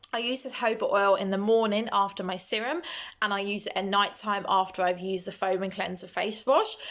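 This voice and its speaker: A woman speaks at a medium pitch and fairly quick pace. Noticeable background noise can be heard. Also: fairly even intonation. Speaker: beauty vlogger. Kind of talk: casual product talk. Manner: hesitant, many ums.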